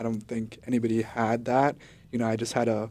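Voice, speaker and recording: A man speaks at a very fast pace and medium pitch. His tone is dark and mellow. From Guatemala, raised in US New England. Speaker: sports videographer. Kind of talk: interview. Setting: studio.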